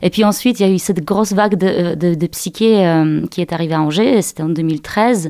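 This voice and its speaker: A woman speaks fairly quickly in a Polish accent, her voice fairly low, dark and mellow. Her pitch varies in an ordinary way, and her loudness stays very even. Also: hardly any pauses. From Poland. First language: Polish (speaking French). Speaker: singer. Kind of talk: radio interview. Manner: halting.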